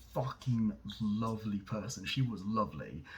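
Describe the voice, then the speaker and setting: Lively intonation runs through a man's somewhat breathy speech. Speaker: vlogger. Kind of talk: casual monologue. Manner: halting, many fillers.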